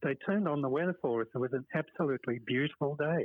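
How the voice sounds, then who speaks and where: Speaking with a Perth accent, a man talks at a fairly quick pace, fairly high in pitch with ordinary pitch variation. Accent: Australian, Perth accent still present. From Western Australia (Perth). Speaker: petanque club organiser. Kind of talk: casual interview. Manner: hesitant, with fillers.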